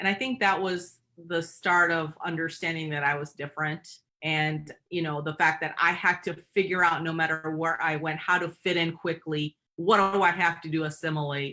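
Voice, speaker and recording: A woman with a Michigan accent speaks at a moderate pace. Her pitch is fairly low and her intonation fairly even. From Michigan, US. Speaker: company president and CEO. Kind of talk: interview. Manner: halting, many fillers.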